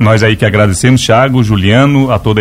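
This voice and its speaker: A man's fairly low voice, an ordinary speaking voice, at a fairly quick pace with fairly even intonation. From Lauro Müller, Santa Catarina, southern Brazil. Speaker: nurse and medical supply business owner. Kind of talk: radio interview. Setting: radio studio.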